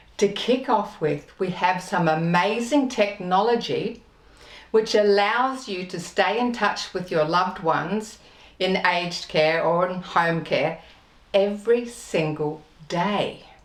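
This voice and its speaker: A woman speaks at a very slow pace and medium pitch. Her tone is upbeat. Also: ordinary pitch variation. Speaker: TV presenter. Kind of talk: TV show host introduction.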